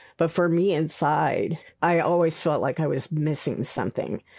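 A woman with a plain, everyday voice speaks at a moderate pace. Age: 60s. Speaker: memoir author. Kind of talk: interview about personal life.

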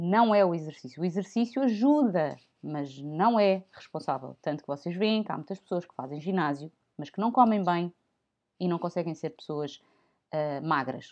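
A woman with a normal speaking voice talks at a moderate pace and a fairly low pitch, her intonation lively. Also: big swings in loudness. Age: 30s. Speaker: podcast host. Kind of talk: informal health talk.

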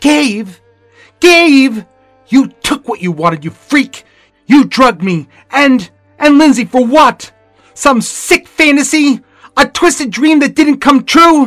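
A man puts on a shrill character voice, extremely high-pitched, raised and projected, with an angry tone. He goes at a fairly slow pace with long, frequent pauses, and faint music plays in the background. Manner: shrill, angry.

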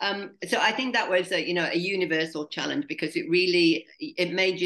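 A woman speaks in a plain, everyday voice at a moderate pace with ordinary pitch variation. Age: 60s. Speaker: adventure travel entrepreneur. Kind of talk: interview. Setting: video call.

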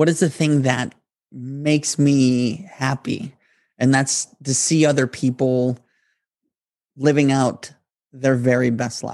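At a very slow pace, a man speaks with long, frequent pauses. His pitch sits in the medium range and his intonation is fairly even. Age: 30s. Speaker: podcast host. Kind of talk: motivational monologue.

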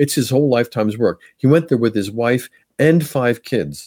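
In an American accent, a man speaks at a fairly quick pace. His tone is dark and mellow. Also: very clean recording, silent background. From Pennsylvania, US. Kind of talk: interview. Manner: halting, many fillers.

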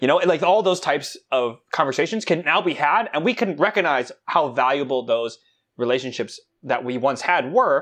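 Over a quiet background, a man with a fairly high pitch speaks at a moderate pace in an animated tone with lively intonation. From New York / New Jersey region, Korean heritage. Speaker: campus ministry staff. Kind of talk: casual chat. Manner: animated, laughing often.

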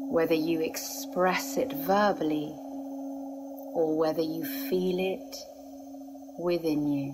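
Amid noticeable background noise, a woman with a fairly low pitch speaks very slowly in a calm, soothing tone, with long, frequent pauses, very even loudness and very wide pitch swings. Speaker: meditation guide. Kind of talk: guided meditation. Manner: slow, calm, soothing, with long pauses; gentle, hypnotic, measured.

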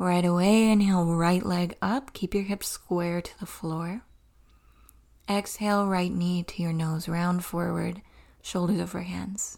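An unremarkable speaking voice at a fairly slow pace, with fairly even intonation. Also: woman, fairly low pitch for a woman. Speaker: yoga instructor and podcast host. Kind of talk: guided yoga class, spoken cues for a practice. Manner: calm, instructive, steady pacing with measured cues.

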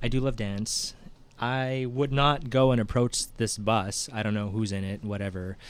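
A man speaks at a moderate pace in a plain, everyday voice. His pitch is medium, with ordinary variation. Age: 30s. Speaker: podcast co-host. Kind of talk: casual chat.

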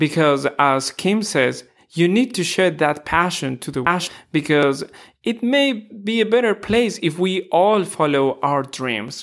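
Speaking at a fairly slow pace with a Spanish accent, a man uses a high pitch and very wide pitch swings on a very clean recording with a silent background. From Ecuador. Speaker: podcast host. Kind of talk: interview; scripted promo.

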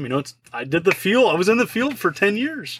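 A man with an American accent at a fairly quick pace, his pitch swinging very widely. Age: 40s. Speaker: retro game collector and YouTuber. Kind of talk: casual interview chat. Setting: video call.

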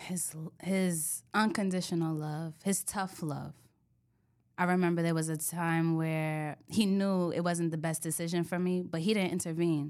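A woman with a New York accent, monotone with flat intonation, at a fairly slow pace on a very clean recording with a silent background. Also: fairly low pitch for a woman. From New York (Bronx, Yonkers). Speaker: insurance agent. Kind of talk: interview. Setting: studio.

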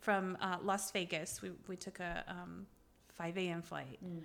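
Vocal fry runs through this woman's voice. She speaks at a medium pitch. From Lebanon (Beirut), Lebanese Armenian. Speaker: fitness entrepreneur and cookbook author. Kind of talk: casual interview chat.

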